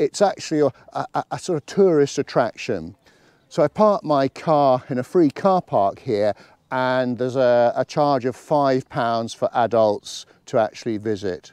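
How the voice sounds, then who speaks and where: The background is quiet as a man speaks at a fairly slow pace. The sound is dry with no echo. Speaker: walking vlogger. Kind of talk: casual vlog chat. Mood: relaxed, friendly. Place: forest.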